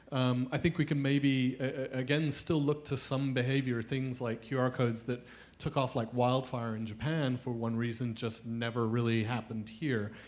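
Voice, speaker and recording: With hardly any pauses, a man in a British accent speaks at a medium pitch with fairly even intonation. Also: moderate pace. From UK. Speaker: mobile advertising executive. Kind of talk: panel discussion. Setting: stage with audience.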